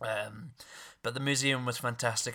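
In a very clean recording with a silent background, a man speaks at a medium pitch and moderate pace in a bright, sharp tone. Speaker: podcast host. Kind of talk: casual chat.

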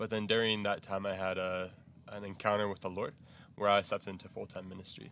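In a Texas accent, a man talks at a very fast pace with a bright, sharp tone and monotone, flat intonation. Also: fairly low pitch for a man. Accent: American, Texas. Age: 20s. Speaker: missionary. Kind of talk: interview. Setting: missionary base in Zambia.

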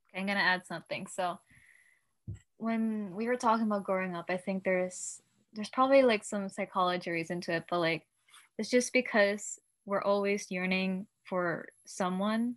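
Here is a woman with an unremarkable speaking voice at medium pitch. She keeps a moderate pace and fairly even intonation on a very clean recording with a silent background. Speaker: podcast co-host; nursing student. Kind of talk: casual podcast chat.

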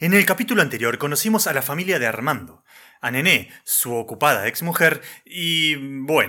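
In a Rioplatense accent, the voice swings very widely in pitch, with a bright, sharp tone and vocal fry. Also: man. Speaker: radio drama narrator. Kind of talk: scripted narration.

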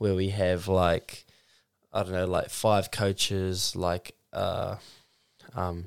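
A man with a New Zealand accent, very deep and low in pitch, flat and monotone, very slow, on a very clean recording with a silent background. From New Zealand, Mount Maunganui. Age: 20s. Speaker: professional surfer. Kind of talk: casual chat.

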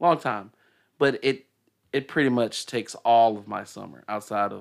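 Speaking with a Southern US accent, a man holds a medium pitch and ordinary pitch variation. He keeps a moderate pace in a very clean recording with a silent background. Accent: Southern US (Georgia). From Decatur, Georgia.

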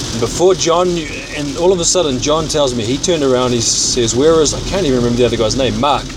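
Ordinary pitch variation shapes a man's very fast speech over noticeable background noise. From Auckland, New Zealand. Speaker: podcaster sending voice messages. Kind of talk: casual solo monologue. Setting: in a car, on the road. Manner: rambling, informal.

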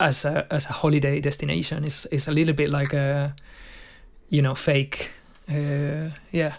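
Speaking at a moderate pace with long, frequent pauses, a man with a fairly high voice and a Spanish accent keeps a monotone, flat intonation. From Spain, Madrid. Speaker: session guitarist. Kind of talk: casual chat.

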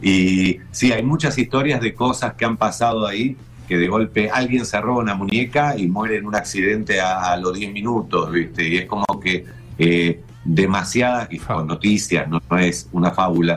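Over noticeable background noise, a man speaks at a moderate pace. His pitch is fairly low and his intonation is lively. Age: 60s. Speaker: TV show creator. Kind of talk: casual chat.

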